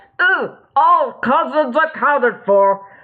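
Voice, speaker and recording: Delivered in a put-on character voice, the speech is high-pitched and fairly slow, with very wide pitch swings. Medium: read story. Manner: broken speech mixed with alien gibberish.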